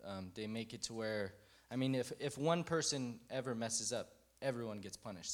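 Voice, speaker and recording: A plain, everyday voice from a man with an American accent, moderate in pace, medium in pitch, with ordinary pitch variation. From Fort Worth, Texas. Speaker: Army veteran. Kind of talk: testimony.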